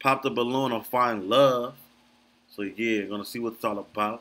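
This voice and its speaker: Medium in pitch, this man's voice has ordinary pitch variation. His pace is moderate. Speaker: reaction video creator. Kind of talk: casual commentary. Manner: casual, filler-heavy speech. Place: home room.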